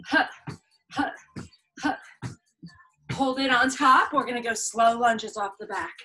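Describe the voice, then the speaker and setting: The voice has a bright, sharp tone and moves at a fairly slow pace. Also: woman, high pitch for a woman, lively intonation. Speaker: fitness instructor. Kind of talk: workout instruction. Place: home room. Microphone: camera far.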